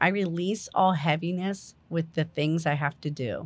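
A woman with an American accent and an ordinary speaking voice, fairly low in pitch, with ordinary pitch variation. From New Jersey. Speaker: holistic life coach. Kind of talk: guided meditation; casual interview chat.

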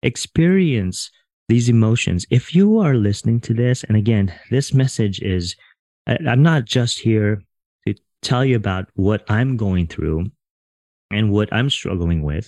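A dark, mellow tone comes with lively intonation in a dry, close sound with no echo. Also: man, medium pitch for a man. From Filipino family background. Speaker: podcast host, psychotherapist. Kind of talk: solo podcast monologue. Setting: home recording with USB microphone.

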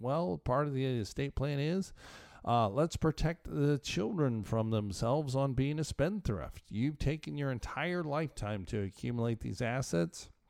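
An ordinary speaking voice from a man of medium pitch, with lively intonation, a moderate pace and hardly any pauses, on a very clean recording with a silent background. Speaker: tax attorney and financial planner. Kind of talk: radio advice show monologue.

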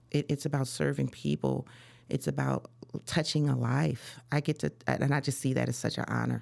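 With an American accent, a woman speaks at a moderate pace, her loudness very even. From Chicago. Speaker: real estate broker. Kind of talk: interview.

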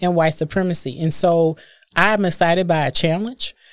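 With an American accent, a woman talks in an unremarkable speaking voice, fairly low in pitch, with fairly even intonation. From US Midwest, Milwaukee. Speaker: diversity and inclusion executive. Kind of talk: interview conversation.

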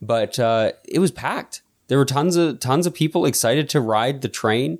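Moderate pace and lively intonation from a man with an unremarkable speaking voice. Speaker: podcast host. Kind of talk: casual chat.

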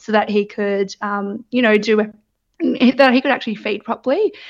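In a dry, close sound with no echo, a woman speaks with an Australian accent. Her pitch is fairly high, her pace fairly slow and her intonation fairly even. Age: 30s. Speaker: new mother. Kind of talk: personal testimony. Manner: hesitant, many fillers.

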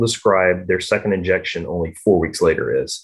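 The man's voice is somewhat breathy. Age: 40s. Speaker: vaccine trial participant. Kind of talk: casual chat.

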